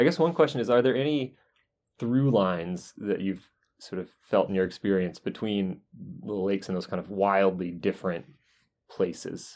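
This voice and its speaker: Speaking at a moderate pace with an American accent, a man uses lively intonation and a fairly low pitch, an unremarkable speaking voice against a quiet background. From US South, North Carolina. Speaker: podcast host, geologist. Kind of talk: interview. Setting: university office.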